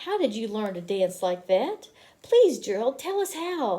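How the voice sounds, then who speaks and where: Using a put-on character voice, a woman speaks at a moderate pace and a fairly high pitch with very wide pitch swings. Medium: read story.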